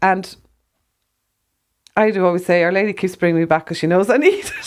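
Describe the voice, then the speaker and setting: A woman with an Irish accent, medium in pitch, fairly quick in pace, with fairly even intonation. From Ireland. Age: 60s. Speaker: herbalist, former rock photographer. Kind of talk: faith testimony conversation.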